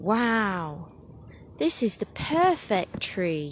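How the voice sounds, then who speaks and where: A female-sounding, put-on character voice at a middle pitch plays against clear background noise. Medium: read story.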